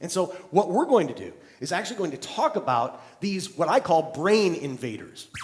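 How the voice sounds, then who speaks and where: A high-pitched man talks at a moderate pace with lively intonation and big swings in loudness, over noticeable background noise. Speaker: keynote speaker. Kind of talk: live keynote speech to an audience.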